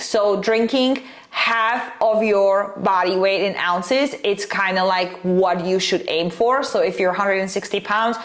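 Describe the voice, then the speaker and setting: A woman's medium-pitched voice with a non-native accent, at a moderate pace with ordinary pitch variation, over noticeable background noise. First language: not English. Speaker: nutrition and fat loss coach. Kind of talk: casual vlog advice talk. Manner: many fillers (um, uh, like).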